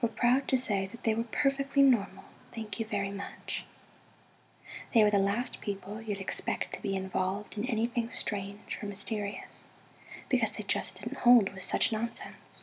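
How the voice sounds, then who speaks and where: Soft-spoken, a woman talks at a fairly high pitch and moderate pace. Her intonation is fairly even. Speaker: ASMR artist. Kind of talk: audiobook reading.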